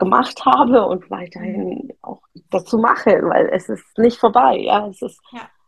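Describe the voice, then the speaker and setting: Using vocal fry, a woman speaks at a fairly slow pace. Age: 30s. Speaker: entrepreneur and keynote speaker. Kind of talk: interview about personal trauma. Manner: hesitant, many fillers.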